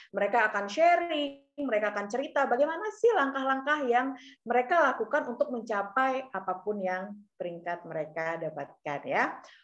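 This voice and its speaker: Animated in tone, a woman speaks high in pitch, her voice moving in very wide pitch swings. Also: moderate pace. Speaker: event MC. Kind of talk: seminar hosting. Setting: video call. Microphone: video call.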